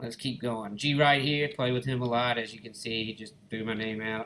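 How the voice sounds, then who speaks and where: A man with an Alabama accent speaks at a medium pitch in a relaxed tone. His intonation is flat and monotone. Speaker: gaming YouTuber. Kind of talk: gameplay commentary. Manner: casual, relaxed.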